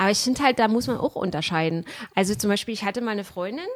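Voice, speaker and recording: An animated woman's voice, fairly high in pitch, with very wide pitch swings. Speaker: podcast host. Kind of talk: casual chat.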